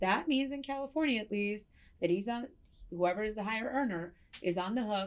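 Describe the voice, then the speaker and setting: A woman with a Russian accent speaks at medium pitch. Her intonation is lively. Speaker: family law attorney, advice show host. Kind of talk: advice show answering listener letters.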